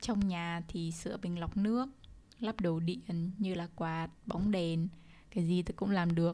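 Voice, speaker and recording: A woman's fairly low, dark, mellow voice at a fairly slow pace, with fairly even intonation. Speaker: podcast host. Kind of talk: casual monologue.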